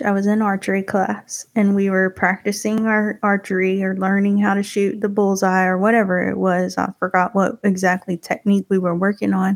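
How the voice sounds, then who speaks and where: Dry and close with no echo, a woman speaks at a medium pitch and a moderate pace. Her intonation is monotone and flat, her loudness very even. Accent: Texas. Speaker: podcast host, guest on another show.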